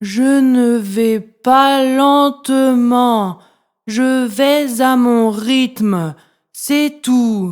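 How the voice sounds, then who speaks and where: A woman puts on a character voice, high-pitched and at a very slow pace. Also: very clean recording, silent background. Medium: read story.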